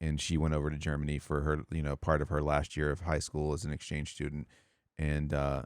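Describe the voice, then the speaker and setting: A man speaks with an American accent in a very deep, low pitch. His intonation is monotone and flat. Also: fairly quick pace. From US South. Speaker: podcast host and streamer. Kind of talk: casual chat.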